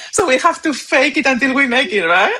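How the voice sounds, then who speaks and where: A woman speaks with a non-native accent. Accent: foreign. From Spain. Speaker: SEO specialist panelist. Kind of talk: panel discussion.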